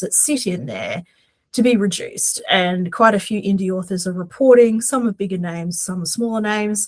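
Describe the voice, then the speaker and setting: Somewhat breathy, a woman with a Queensland accent speaks at a moderate pace on a very clean recording with a silent background. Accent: Australian, Queensland. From Australia, Queensland. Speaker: podcast co-host, aspiring romance author. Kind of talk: casual chat. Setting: podcast recording at home.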